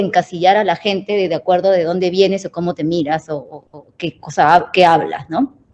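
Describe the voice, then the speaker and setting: A woman is speaking. She talks with a Peruvian accent. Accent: Peruvian Spanish accent when speaking English. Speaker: tech design manager, panelist. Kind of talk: panel discussion.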